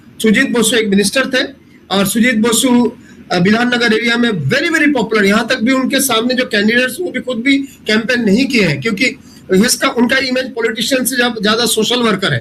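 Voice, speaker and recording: The man's pitch is extremely high, with ordinary variation, and he speaks at a moderate pace. Noticeable background noise can be heard. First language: not Hindi (speaking Hindi). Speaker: professor, election data analyst. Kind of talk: panel discussion analysis. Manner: halting, many fillers.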